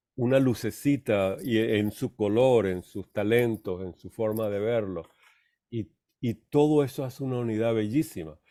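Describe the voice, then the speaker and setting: The recording is very clean, with a silent background. A man's medium-pitched voice, dark and mellow in tone, moves at a fairly slow pace with ordinary pitch variation. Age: 70s. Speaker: theosophy study group teacher. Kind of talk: lecture. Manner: halting.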